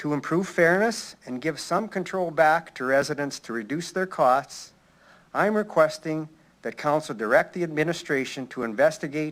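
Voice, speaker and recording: Speaking with a Canadian prairie accent, a man uses a fairly high pitch in a very clean recording with a silent background. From Saskatchewan, Canada. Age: 60s. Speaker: retired citizen delegate. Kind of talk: prepared public delegation statement. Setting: city council chamber. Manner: formal.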